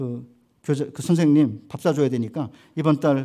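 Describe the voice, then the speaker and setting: A man's fairly high-pitched voice, dark and mellow in tone, on a very clean recording with a silent background. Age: 60s. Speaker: seminary professor, guest preacher. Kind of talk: sermon.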